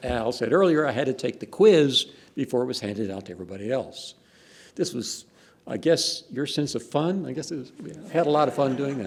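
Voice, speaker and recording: A man with a Texan accent, fairly quick and lively in intonation, with big swings in loudness. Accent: Texan, noticeable. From Texas. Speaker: professor. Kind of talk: reminiscing talk at academic event.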